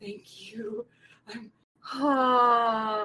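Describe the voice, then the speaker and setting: A put-on character voice, female-sounding and fairly high-pitched, with monotone, flat intonation. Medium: actual play.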